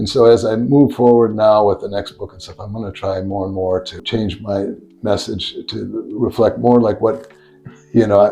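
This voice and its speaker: With music in the background, a man of fairly low pitch talks at a moderate pace with fairly even intonation and big swings in loudness. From United States. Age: 60s. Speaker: professor. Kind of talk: interview conversation. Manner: halting, many repetitions and fillers.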